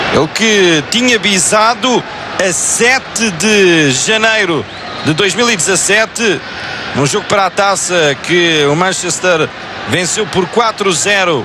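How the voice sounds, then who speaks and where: A high-pitched man speaks in a raised, projected voice at a very slow pace, his loudness very even and his pitch varying in an ordinary way. Noticeable background noise is present. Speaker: football commentator. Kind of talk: live football commentary, match broadcast recording. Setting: stadium broadcast, recorded match commentary.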